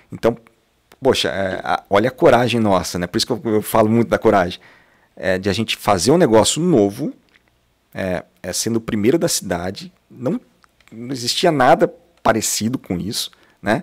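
A man at a moderate pace with lively intonation and long, frequent pauses against a quiet background. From Londrina, northern Paraná, Brazil; Paraná, Brazil. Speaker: franchise business owner; podcast guest. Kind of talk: casual interview. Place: studio. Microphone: studio mic.

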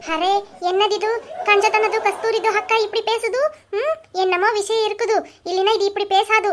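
A woman's cartoonish character voice, extremely high in pitch, with fairly even intonation at a moderate pace.

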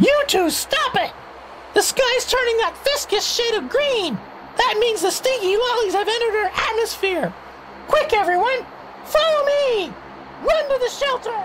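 An extremely high voice at a moderate pace, with long, frequent pauses and clear background noise. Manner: excitable, urgent.

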